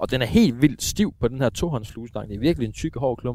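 Speaking at a moderate pace, a man with an unremarkable speaking voice keeps a medium pitch and ordinary pitch variation. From eastern Denmark. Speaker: radio host and angler. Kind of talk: casual chat. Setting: outdoors.

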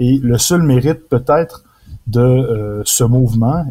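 With a dark, mellow tone, a man of medium pitch sounds somewhat breathy and keeps his intonation fairly even. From Quebec, Beauce region. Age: 20s. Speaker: author. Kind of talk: interview.

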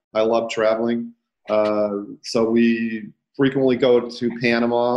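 Flat and monotone, a man's voice holds a medium pitch. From Detroit, Michigan, US. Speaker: real estate agent and coach. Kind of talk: casual interview. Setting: video call.

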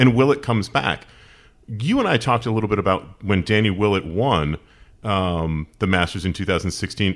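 On a very clean recording with a silent background, a man with an American accent has an unremarkable speaking voice, a fairly low pitch and a moderate pace. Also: ordinary pitch variation. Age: 40s. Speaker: podcast host. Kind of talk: casual interview.

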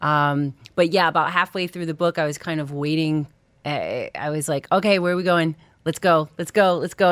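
A woman with a New York accent at a moderate pace, on a very clean recording with a silent background. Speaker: comedian. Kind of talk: casual chat. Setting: studio. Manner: animated.

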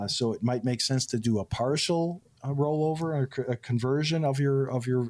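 Speaking at a moderate pace, a man with a plain, everyday voice keeps a medium pitch and ordinary pitch variation. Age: 60s. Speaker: financial advisor. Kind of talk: radio call-in show chat.

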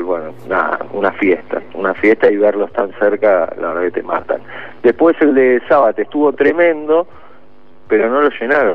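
A man at a moderate pace, lively intonation, and noticeable background noise behind him. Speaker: radio host. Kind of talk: casual chat; scripted narration.

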